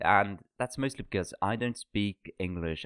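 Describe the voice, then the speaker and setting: A man with a Norwegian accent speaks at a fairly low pitch with ordinary pitch variation. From Norway. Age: 20s. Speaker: podcast co-host. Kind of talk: casual chat.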